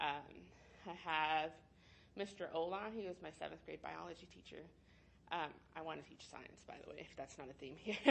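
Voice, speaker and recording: A woman with an American accent, very deep and low in pitch, with vocal fry, ordinary pitch variation, a moderate pace and long, frequent pauses. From Texas, Dallas. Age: 20s. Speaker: aspiring teacher. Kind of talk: interview. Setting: recorded interview. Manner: hesitant, many fillers.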